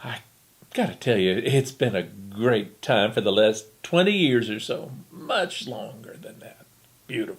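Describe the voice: The passage is delivered as plain reading aloud.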